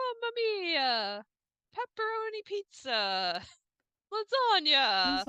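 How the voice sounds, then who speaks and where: In a put-on character voice with an Italian accent, the speaker goes very slowly at an extremely high pitch, with long, frequent pauses. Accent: exaggerated Italian. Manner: comic, stereotyped.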